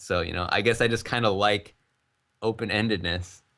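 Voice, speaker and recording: Delivered at a fairly quick pace, an ordinary speaking voice keeps a fairly even intonation. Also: man. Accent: American. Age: 20s. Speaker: game developer. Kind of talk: interview. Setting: live stream interview. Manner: casual.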